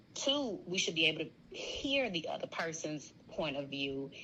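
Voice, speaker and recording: A woman speaks loudly in a bright, sharp tone at a fairly low pitch. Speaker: guest on a sorority sister's podcast. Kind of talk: casual interview conversation.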